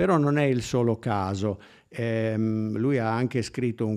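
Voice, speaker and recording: Against a quiet background, a man speaks very slowly with a fairly low pitch and fairly even intonation. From Turin, northern Italy; northern Italy. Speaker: musicologist. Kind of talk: lecture. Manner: halting. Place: hall. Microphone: podium.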